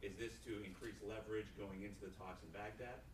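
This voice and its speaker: With audible room echo, a man speaks in a fairly low voice marked by vocal fry. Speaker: audience member asking a question. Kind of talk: audience question. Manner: loud.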